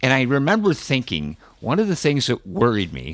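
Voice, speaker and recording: Vocal fry marks a man's speech at a moderate pace, with very wide pitch swings. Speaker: cancer survivor and internet radio host. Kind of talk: interview. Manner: energetic, lively.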